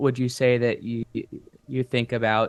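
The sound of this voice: The tone is clear and smooth, with little pitch movement. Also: man.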